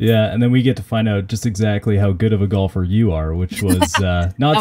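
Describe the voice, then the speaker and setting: At a fairly quick pace, a man talks in a normal speaking voice with a fairly low pitch and ordinary pitch variation. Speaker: podcast host. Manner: casual, many filler words.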